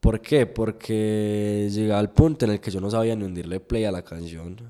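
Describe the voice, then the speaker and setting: Very clean, this recording has a completely silent background. Its voice carries a dark, mellow tone. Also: man. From Colombia, La Unión (Antioquia). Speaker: DJ. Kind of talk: interview.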